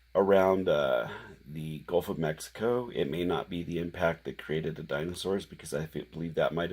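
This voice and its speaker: A man speaks quietly at a moderate pace, his pitch very deep and low with ordinary variation. The recording is very clean, with a silent background. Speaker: independent researcher presenting theories. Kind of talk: monologue explaining theories. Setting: at home late at night. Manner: halting with fillers.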